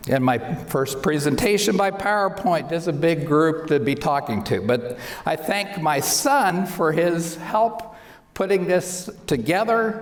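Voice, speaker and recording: A high-pitched man's voice with lively intonation, a fairly slow pace and very even loudness, amid noticeable background noise and audible room echo. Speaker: optometrist. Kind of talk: lecture.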